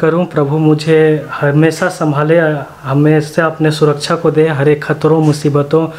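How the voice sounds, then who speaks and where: A man at a fairly slow pace with monotone, flat intonation. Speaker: motovlogger. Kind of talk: casual vlog chat. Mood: grateful, cheerful. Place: home room. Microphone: phone near.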